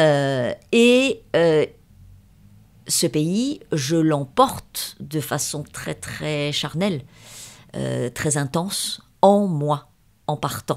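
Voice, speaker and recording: At a very slow pace and with long, frequent pauses, a woman speaks in a very deep, low pitch. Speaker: novelist. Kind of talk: interview. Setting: at her home. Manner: hesitant, many fillers.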